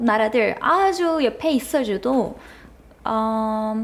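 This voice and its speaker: Speaking at a very slow pace, a woman with a Turkish accent uses lively intonation. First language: Turkish (speaking Korean). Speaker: university student. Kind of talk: casual chat. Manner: halting.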